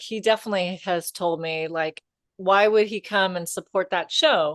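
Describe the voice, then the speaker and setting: In an ordinary speaking voice, a woman speaks fairly low and fairly slowly with fairly even intonation, the sound dry and close with no echo. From US. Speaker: comedian, podcast co-host. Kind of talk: casual chat.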